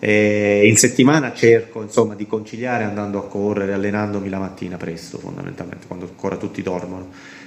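A man's fairly low voice at a very fast pace, fairly even in intonation but with big swings in loudness, over noticeable background noise. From southern Italy (Basilicata, Potenza), moved around Italy. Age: 40s. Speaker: amateur marathon runner and race pacer. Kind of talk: casual interview. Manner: halting, many fillers.

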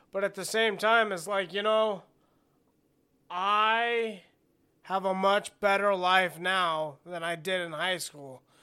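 In a very clean recording with a silent background, a man uses a raised, projected voice with a high pitch and a bright, sharp tone, speaking at a very slow pace with long, frequent pauses and fairly even intonation. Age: 30s. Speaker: podcast host. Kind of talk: solo podcast monologue. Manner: casual, conversational.

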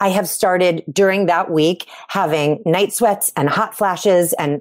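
A woman with an unremarkable speaking voice and a fairly low pitch talks at a moderate pace with ordinary pitch variation. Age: 40s. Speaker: podcast co-host. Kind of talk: casual chat.

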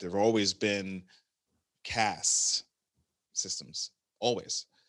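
With an unremarkable speaking voice, a man talks at a fairly low pitch and a fairly slow pace with fairly even intonation, on a very clean recording with a silent background and a dry, close sound with no echo. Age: 40s. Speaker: healthcare venture investor. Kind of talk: interview conversation.

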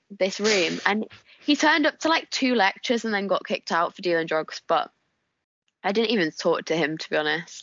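A strong northern English accent at a moderate pace, with very wide pitch swings. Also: woman. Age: 20s. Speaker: guest. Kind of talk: casual chat.

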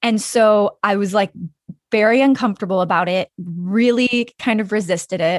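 A woman with an American accent has an unremarkable speaking voice and fairly even intonation at a fairly slow pace. The background is quiet and the sound dry and close with no echo. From Wyoming, US. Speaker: filmmaker and podcast host. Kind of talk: casual interview chat.

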